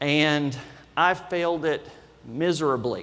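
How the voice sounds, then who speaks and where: A man talks with a Kentucky accent at a fairly high pitch. There is audible room echo. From Kentucky, Lexington. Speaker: loan officer. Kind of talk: conference talk. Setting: stage with audience.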